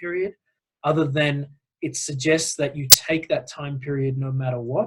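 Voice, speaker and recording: A man with an Australian accent speaks at a moderate pace in a fairly high, somewhat breathy voice. His intonation is fairly even. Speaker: nonprofit executive director. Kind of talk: webinar presentation. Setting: online call. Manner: hesitant, many fillers.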